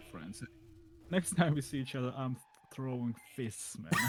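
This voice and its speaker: A man with a non-native accent talks at a moderate pace and medium pitch, with lively intonation and big swings in loudness. Long, frequent pauses break up his speech over noticeable background noise. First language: not English. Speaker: indie game developer. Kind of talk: casual chat. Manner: hesitant, halting.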